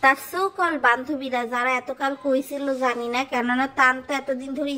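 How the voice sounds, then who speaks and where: A woman's raised, projected voice, high in pitch and fairly even in intonation, over noticeable background noise. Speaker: gossip commentary vlogger. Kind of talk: commentary monologue.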